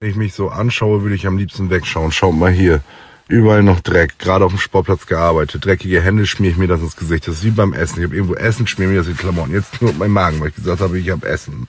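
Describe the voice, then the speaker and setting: Speaking very fast, a man with a very deep, low pitch sounds somewhat breathy, with ordinary pitch variation. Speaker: social media personality. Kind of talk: casual vlog monologue. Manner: animated.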